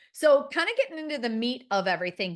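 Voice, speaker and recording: With a Midwestern American accent, a woman speaks with very wide pitch swings against a quiet background. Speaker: marketing consultant. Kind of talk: webinar presentation. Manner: casual, filler-heavy.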